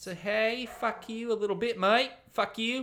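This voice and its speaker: A man speaks at a very slow pace in a high voice. His tone is bright and sharp. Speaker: comedy podcast host running improv games. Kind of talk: casual comedic improv chat. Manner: animated, profane.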